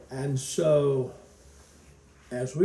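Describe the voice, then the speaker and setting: A man talks in a medium pitch with a Southern US accent. Noticeable background noise and audible room echo surround his voice. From Kentucky. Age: 70s. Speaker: pastor and retired school counselor. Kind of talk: interview. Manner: halting.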